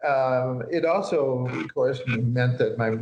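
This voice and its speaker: A man speaks with a Midwestern American accent. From US Midwest, northeast Nebraska. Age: 70s. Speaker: psychiatrist and author. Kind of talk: interview. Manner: halting, many fillers.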